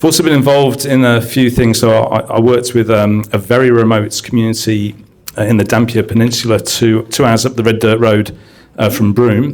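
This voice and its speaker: A man's medium-pitched voice in an English accent, fairly quick and fairly even in intonation, over noticeable background noise. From UK. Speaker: science education consultant and teacher. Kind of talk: panel discussion introduction.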